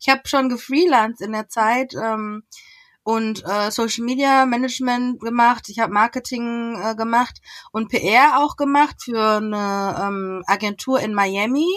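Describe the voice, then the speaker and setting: A woman's unremarkable speaking voice, fairly high in pitch, with ordinary pitch variation and a fairly slow pace. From western Germany, Essen (Ruhr area). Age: 30s. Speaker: entrepreneur and agency founder. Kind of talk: podcast interview.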